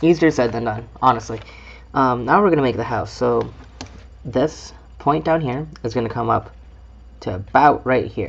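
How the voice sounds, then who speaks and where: The speech moves at a moderate pace with lively intonation and vocal fry. Long, frequent pauses break it up. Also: man, medium pitch for a man. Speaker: origami club member teaching. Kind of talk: tutorial.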